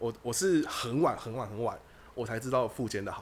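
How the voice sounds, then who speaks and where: A man speaks with very wide pitch swings. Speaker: podcast host. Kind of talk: casual chat.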